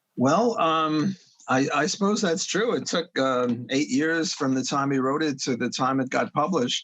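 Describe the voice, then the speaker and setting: In a New York accent, a man talks at a moderate pace with a fairly high pitch and lively intonation. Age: 70s. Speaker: economics professor. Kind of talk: podcast interview. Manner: halting, many fillers.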